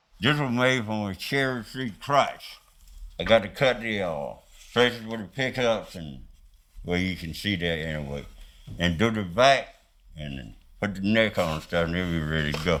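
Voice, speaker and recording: A man with a Southern US accent and a fairly low pitch, lively in intonation, at a moderate pace broken by long, frequent pauses, with big swings in loudness. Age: 80s+. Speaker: guitar maker, artist. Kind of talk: documentary interview answer.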